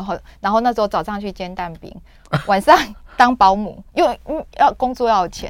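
A woman with a medium-pitched voice and lively intonation speaks at a fairly quick pace on a very clean recording with a silent background. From Taiwan, rural Yunlin. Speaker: author and sales professional. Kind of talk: radio interview. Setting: radio studio. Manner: animated.

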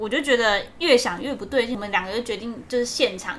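A woman with a fairly high pitch and ordinary pitch variation talks at a fairly quick pace against noticeable background noise. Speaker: podcast co-host. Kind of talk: casual chat.

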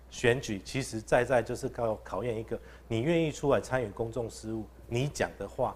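A man is speaking. His pace is moderate. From Taichung, Taiwan. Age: young. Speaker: council candidate, recall campaign leader. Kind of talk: live-streamed panel discussion. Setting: live broadcast venue with studio audience. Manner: gentle and refined.

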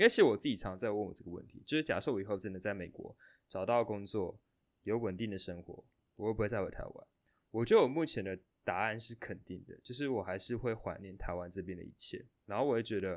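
A man speaks very fast in a fairly low voice, with ordinary pitch variation and big swings in loudness. The recording is very clean, with a silent background. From Taiwan. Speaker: podcast host, student. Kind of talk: casual chat.

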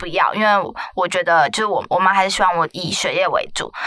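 With noticeable background noise behind her, a woman talks at a very fast pace. Her pitch is medium and her intonation fairly even. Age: 20s. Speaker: podcast host. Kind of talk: casual chat.

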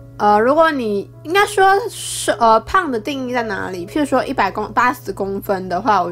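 With music in the background, a woman speaks at a moderate pace and fairly high pitch, her pitch swinging very widely. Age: 20s. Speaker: podcaster. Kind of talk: casual solo talk. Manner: halting, many fillers.

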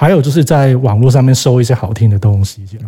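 A dark, mellow tone carries a somewhat breathy quality. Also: man. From Hong Kong. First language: Cantonese (speaking Chinese). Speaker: record label owner. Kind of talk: casual chat.

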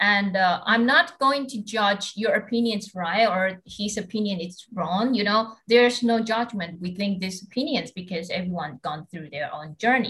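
A woman talks at a moderate pace with hardly any pauses. Her medium-pitched voice has a bright, sharp tone and lively intonation. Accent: Taiwanese. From Taiwan. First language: Mandarin Chinese. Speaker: podcast host, master's student. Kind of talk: casual interview.

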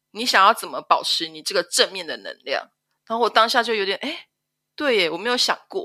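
A woman with a Taiwanese accent talks at a fairly quick pace in a bright, sharp tone. The background is silent on this very clean recording. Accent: Taiwanese Mandarin. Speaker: stay-at-home mother. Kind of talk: personal testimony interview.

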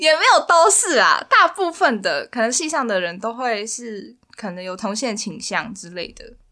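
A woman talks at a moderate pace with hardly any pauses. Her pitch swings very widely and her loudness shifts a great deal. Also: fairly high pitch for a woman. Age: 20s. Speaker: university student. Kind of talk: casual chat.

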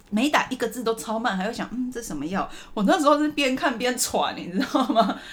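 Her tone animated and her intonation lively, a woman speaks at a fairly quick pace in a high voice over noticeable background noise. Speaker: podcast host. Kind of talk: casual chat.

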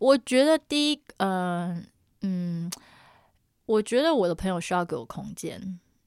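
A woman speaks at a fairly slow pace and medium pitch, her pitch swinging very widely, with long, frequent pauses, in a very clean recording with a silent background and a dry, close sound with no echo. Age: 30s. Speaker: podcast co-host. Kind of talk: casual chat. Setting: room with acoustic foam. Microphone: new upgraded equipment, own microphone.

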